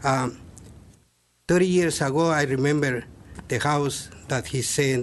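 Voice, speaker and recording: A man talks at a medium pitch with ordinary pitch variation. He has a non-native accent and keeps a fairly slow pace. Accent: non-native English speaker. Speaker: public commenter at city meeting. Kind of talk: public comment at planning meeting. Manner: halting.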